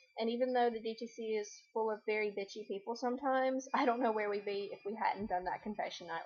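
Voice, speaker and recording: Noticeable background noise accompanies very fast speech with ordinary pitch variation. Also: woman. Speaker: video blogger. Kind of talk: casual chat. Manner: animated.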